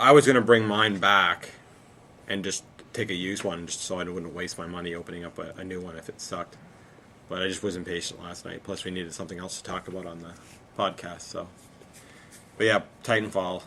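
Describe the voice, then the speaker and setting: A man's very deep, low voice at a fairly quick pace, with fairly even intonation, long and frequent pauses, and big swings in loudness. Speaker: video game podcast host and game store worker. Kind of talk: casual chat.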